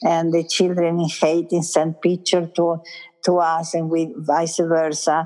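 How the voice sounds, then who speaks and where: A woman speaks at a fairly slow pace with an Italian accent. Her intonation stays monotone and flat. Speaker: school founder and educator. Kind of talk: interview.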